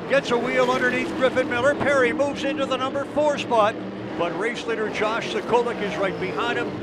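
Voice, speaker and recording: Over noticeable background noise, a man with an extremely high voice talks at a fairly quick pace with ordinary pitch variation. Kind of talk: live race commentary. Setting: race track PA/broadcast.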